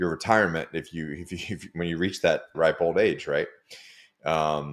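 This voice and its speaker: In a very clean recording with a silent background, a man with an American accent talks at a moderate pace with big swings in loudness. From United States. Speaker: former special forces soldier turned coach. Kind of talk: podcast interview. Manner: casual, halting with many fillers.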